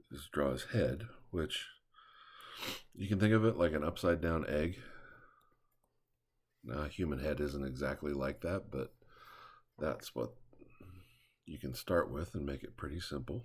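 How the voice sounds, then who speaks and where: This man's very deep, low voice carries vocal fry and lively intonation, moving at a moderate pace with long, frequent pauses. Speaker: drawing instructor. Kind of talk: drawing tutorial talk. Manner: casual.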